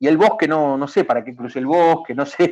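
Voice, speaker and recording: At a fairly quick pace, a man talks in a fairly high voice. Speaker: video game industry public official. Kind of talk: talk / presentation. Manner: fast; halting, many repetitions.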